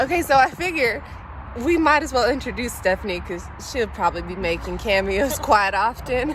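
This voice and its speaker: A woman with an American accent speaks at a moderate pace in a fairly high, animated voice whose pitch swings very widely, with noticeable background noise behind her. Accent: southern US accent, comes out at times. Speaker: vlogger and exotic dancer. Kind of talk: casual vlog chat.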